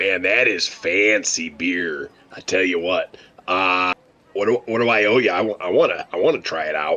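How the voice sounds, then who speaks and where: A man does a put-on character voice that is raspy and fairly low, at a moderate pace. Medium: actual play. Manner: folksy, drawling.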